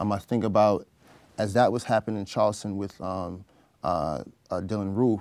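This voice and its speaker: A man with a New York accent speaks at a moderate pace in a fairly low pitch. Faint music plays in the background. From Brooklyn, New York, Trinidadian family. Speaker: gun violence prevention advocate; interview guest. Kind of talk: interview. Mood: calm, reflective. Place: studio. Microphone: lapel.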